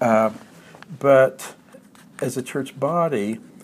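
A man with an American accent at a medium pitch, with noticeable background noise. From Oklahoma, US. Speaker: retired literature professor and author. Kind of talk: interview, personal reflection. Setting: visiting Australia.

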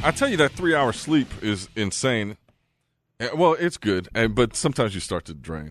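Speaking with an American accent, a man uses very wide pitch swings. His pace is moderate, and the background is quiet. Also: medium pitch for a man. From San Francisco Bay Area, US. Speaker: radio co-host. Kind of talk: casual banter radio show chat. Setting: radio studio.

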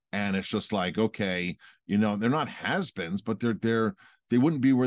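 Against a quiet background, a man with a plain, everyday voice speaks at a moderate pace and medium pitch with ordinary pitch variation. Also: dry, close sound with no echo. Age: 40s. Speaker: restaurant owner and podcast co-host. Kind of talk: casual chat.

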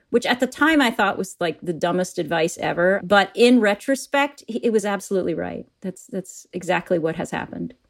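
Talking at a fairly quick pace, a woman with a plain, everyday voice and an American accent uses lively intonation at medium pitch, on a very clean recording with a silent background. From US Midwest, Wisconsin. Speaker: corporate learning executive. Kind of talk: interview.

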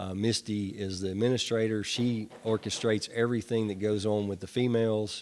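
Someone talks fairly quickly in a Tennessee accent, with hardly any pauses. The intonation stays monotone and flat. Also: man, fairly low pitch for a man. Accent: Southern US (Tennessee). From US South, Nashville, Tennessee. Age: 50s. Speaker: sober living home operator, person in recovery. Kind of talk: testimony. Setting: studio. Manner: halting, many fillers and repetitions.

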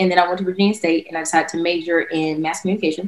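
Here a woman speaks with a North Carolina accent. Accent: US Southern (North Carolina). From North Carolina, Durham. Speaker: former college dancer and dance instructor. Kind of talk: interview.

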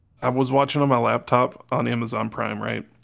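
A man with a normal speaking voice talks at a moderate pace, his medium pitch held in fairly even intonation. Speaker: podcast co-host. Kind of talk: casual chat. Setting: hotel room, remote call.

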